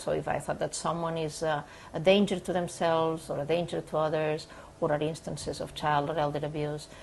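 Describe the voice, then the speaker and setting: Somewhat breathy and fairly low in pitch, a woman with a non-native accent speaks at a fairly quick pace. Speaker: sports psychologist. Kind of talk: counseling session intake. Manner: hesitant, many fillers.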